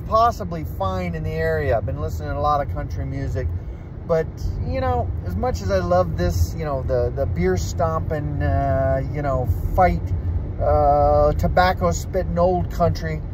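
Noticeable background noise surrounds a man with a very deep, low voice. He talks at a moderate pace in a dry sound with no echo. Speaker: vlogger. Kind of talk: casual vlog chat. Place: car. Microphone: phone near.

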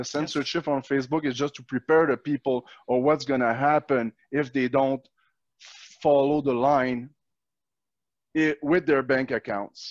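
A man speaks with a Quebec accent and a fairly high pitch, at a fairly slow pace with fairly even intonation. The sound is dry with no echo, and the background is quiet. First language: French. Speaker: natural law activist and video host; video host. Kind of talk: interview conversation. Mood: angry, indignant. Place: home room. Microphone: headset.

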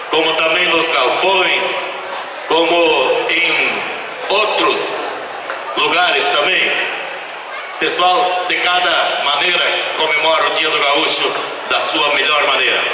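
Amid noticeable background noise and strong room echo, a man with a high pitch speaks at a very slow pace with long, frequent pauses and fairly even intonation. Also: very even loudness. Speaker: event host. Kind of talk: stage announcement speech. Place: stage.

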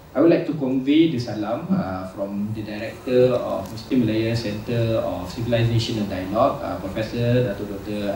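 A man speaks with hardly any pauses amid light background noise and audible room echo. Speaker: event host giving opening remarks. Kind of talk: formal welcome speech. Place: hall.

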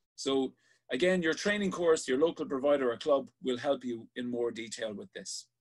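Against a quiet background, a man with an Irish accent speaks at a moderate pace and fairly high pitch, with big swings in loudness. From Ireland. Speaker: sea safety instructor. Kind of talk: online safety class. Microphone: webcam.

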